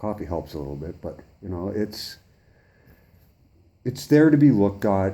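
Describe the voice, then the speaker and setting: A man's dark, mellow voice, fairly low in pitch. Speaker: citizen activist meeting a journalist. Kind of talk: face-to-face conversation. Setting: in-person meeting. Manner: fast.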